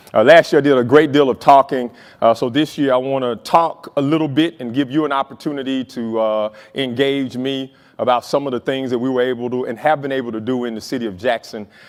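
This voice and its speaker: A man speaks at a fairly quick pace in a medium pitch, with a Southern US accent. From US South, Mississippi. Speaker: city mayor. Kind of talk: keynote speech. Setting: stage with audience. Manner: animated.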